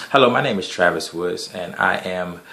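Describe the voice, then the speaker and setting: A man talks amid audible room echo and noticeable background noise. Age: 30s. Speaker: graduate student presenting a course project. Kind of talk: narrated slide presentation. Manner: halting, with frequent fillers and repetitions.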